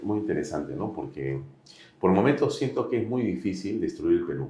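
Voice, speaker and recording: Audible room echo carries a man's voice as he talks at a fairly quick pace. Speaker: interviewer, political commentator. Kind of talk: political interview.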